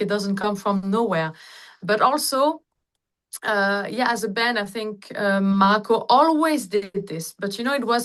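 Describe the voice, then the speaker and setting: A woman in a plain, everyday voice at medium pitch, fairly slow and with ordinary pitch variation, against a quiet background. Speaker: singer. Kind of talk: interview answer. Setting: video call.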